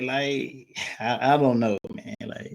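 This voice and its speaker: A man with a slight Mississippi accent and a fairly high pitch speaks at a fairly slow pace. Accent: Mississippi, country, slight. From US South, Mississippi. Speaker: podcast guest. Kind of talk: casual chat. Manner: animated.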